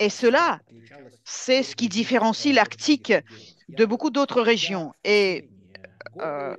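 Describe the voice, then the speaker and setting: With a Russian accent and vocal fry, a woman speaks at a very slow pace and a fairly high pitch, with long, frequent pauses. Her pitch swings very widely and her loudness rises and falls sharply. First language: Russian (speaking French). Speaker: Arctic researcher and speaker at an exhibition. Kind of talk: Q&A answer at an exhibition opening. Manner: halting, many hesitations.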